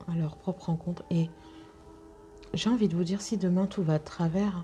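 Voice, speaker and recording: A fairly slow, monotone delivery with flat intonation over music in the background. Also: woman. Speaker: intuitive guide and sophrologist. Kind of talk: spiritual guidance talk to viewers. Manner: soft-spoken; hesitant, many fillers.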